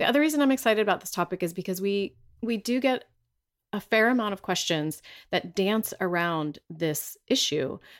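In a very clean recording with a silent background, a woman speaks at a moderate pace and medium pitch with lively intonation. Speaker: podcast host. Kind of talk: casual interview chat. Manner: uses filler word like.

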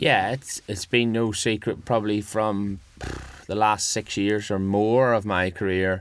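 Here a man speaks in a flat monotone. His pace is fairly slow. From Northern Ireland. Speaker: motorcycle road racer. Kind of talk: casual interview.

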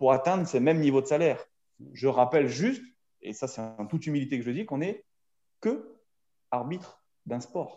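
Dark and mellow in tone, a man's voice moves at a moderate pace. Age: 40s. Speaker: rugby referee. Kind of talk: casual chat. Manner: halting, repeats words.

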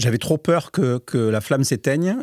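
A man's dark, mellow, medium-pitched voice at a moderate pace, with ordinary pitch variation and a dry, close sound with no echo. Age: 60s. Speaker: company founder and director. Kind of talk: interview. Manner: halting, many repeated words.

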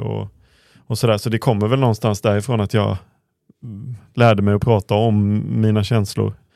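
A man's fairly low, dark and mellow voice, monotone and flat, in a dry, close sound with no echo and a very clean recording over a silent background. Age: 30s. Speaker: former footballer, podcast co-host. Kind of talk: casual chat.

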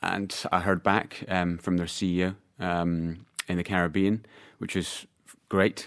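A man talks in a very deep, low pitch at a fairly slow pace, his intonation monotone and flat. The recording is very clean and the background silent. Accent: Scottish. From Scotland. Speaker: PR agency owner. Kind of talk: casual chat. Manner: halting, many fillers and repetitions.

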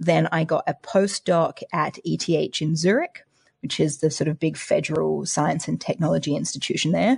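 Delivered at a moderate pace, the voice sounds dry and close, with no echo at all. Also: woman, quiet background. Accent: Australian. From Australia, Adelaide. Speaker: applied mathematician and science podcaster. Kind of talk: casual interview chat.

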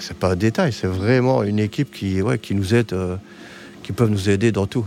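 A man with a normal speaking voice talks at a fairly low pitch, varying it in an ordinary way. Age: 50s. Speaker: hospital technician and wheelchair user. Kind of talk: interview.

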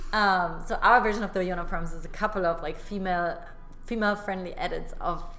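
Over noticeable background noise, a woman speaks at a fairly quick pace with a medium pitch and fairly even intonation. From Germany. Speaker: fashion entrepreneur. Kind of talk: casual interview.

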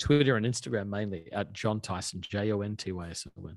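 A man speaks with an Australian accent against a quiet background. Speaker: pastor. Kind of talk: interview conversation. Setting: podcast recording.

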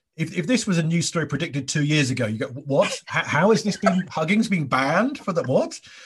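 Over a quiet background, a man with an English accent talks at a very fast pace, somewhat breathy, with lively intonation. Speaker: podcast host and comedian. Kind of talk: casual chat. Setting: remote call.

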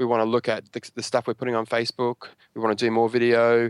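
In an Australian accent, a man talks at a fairly quick pace in a very clean recording with a silent background and a dry, close sound with no echo. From Australia, Brisbane. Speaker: local government digital communications manager. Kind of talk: interview. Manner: halting, many fillers and repeats.

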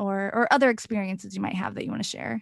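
A very fast-talking woman with an American accent and a medium pitch. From US small town. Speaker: podcast host, abuse awareness speaker. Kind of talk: interview.

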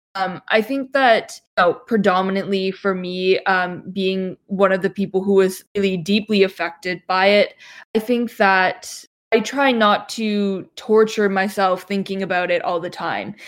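A woman with a Canadian accent speaks in an unremarkable speaking voice at a fairly slow pace. Her pitch is medium with fairly even intonation, on a very clean recording with a silent background. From Canada, Toronto area. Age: 20s. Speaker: Chinese adoptee, graduate student. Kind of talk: casual discussion.

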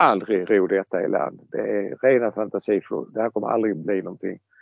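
This man has a normal speaking voice, a medium pitch, ordinary pitch variation and a fairly quick pace. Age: 60s. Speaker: scale model expert. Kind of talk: casual chat.

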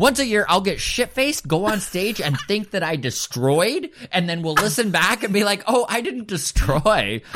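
High-pitched male speech with very wide pitch swings, a moderate pace, hardly any pauses, and noticeable background noise. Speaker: comedian. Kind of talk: casual chat.

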